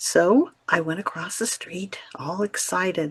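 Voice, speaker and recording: A woman speaks with a somewhat breathy voice. The sound is dry and close, with no echo. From US Midwest, small-town Ohio. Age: 70s. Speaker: inspirational storyteller. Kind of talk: personal storytelling.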